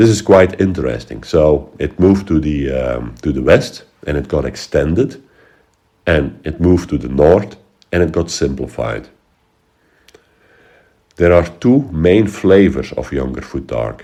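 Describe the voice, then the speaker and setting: A man with vocal fry, a very deep, low pitch, a fairly slow pace and long, frequent pauses. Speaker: history educator. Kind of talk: educational talk.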